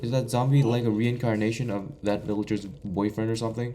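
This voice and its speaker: A man speaks with a Korean accent at a medium pitch. His tone is dark and mellow, and his pace fairly quick. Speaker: gaming YouTuber. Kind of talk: gameplay commentary. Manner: stuttering, halting.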